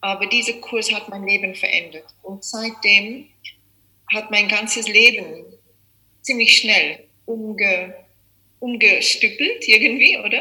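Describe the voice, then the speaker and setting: A woman talks at a very slow pace. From South Africa. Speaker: yoga teacher. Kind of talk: interview. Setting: video call.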